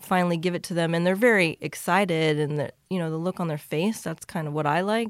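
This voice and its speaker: In a plain, everyday voice with an American accent, the speaker goes at a fairly quick pace with ordinary pitch variation and hardly any pauses. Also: woman, fairly low pitch for a woman. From rural Kansas, US. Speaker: cookie business owner and engineer. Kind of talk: interview.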